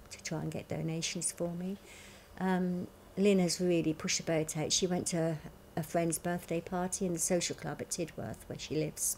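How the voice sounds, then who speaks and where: A woman talks at a moderate pace in a fairly low voice. Her intonation is monotone and flat, with light background noise behind her. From southern England. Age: 60s. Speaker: cancer patient fundraising; interviewee. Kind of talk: interview. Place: home room.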